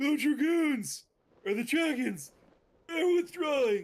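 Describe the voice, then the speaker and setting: This put-on character voice sits at a high pitch and moves at a fairly slow pace. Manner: excited.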